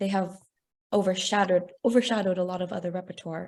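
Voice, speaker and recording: A woman speaks in a Texas accent. Her pitch is medium and her pace moderate. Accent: American, Texas. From Texas, San Antonio. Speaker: opera singer. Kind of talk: interview.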